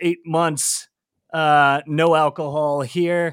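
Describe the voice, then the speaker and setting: A man speaks in an ordinary speaking voice with ordinary pitch variation. His pitch sits fairly high. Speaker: news head, podcaster. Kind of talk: casual panel chat. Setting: live stream.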